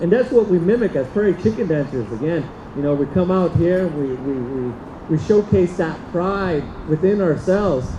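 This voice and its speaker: A man's high voice with lively intonation at a moderate pace, over noticeable background noise. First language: Diné (Navajo). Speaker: powwow dancer. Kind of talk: cultural presentation to audience. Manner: halting, many fillers.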